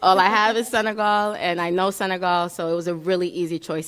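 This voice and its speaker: Fairly quick and fairly even in intonation, the voice carries an American accent on a very clean recording with a silent background. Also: woman. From Brooklyn, New York. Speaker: pitch competition contestant. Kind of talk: interview.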